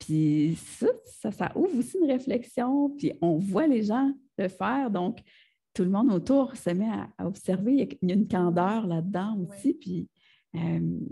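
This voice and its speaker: With a Quebec accent, a woman speaks at a very slow pace, somewhat breathy. Her tone is dark and mellow, her intonation lively. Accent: Québécois French. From Gaspésie, Quebec. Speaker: multidisciplinary artist. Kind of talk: interview answer. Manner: casual, conversational.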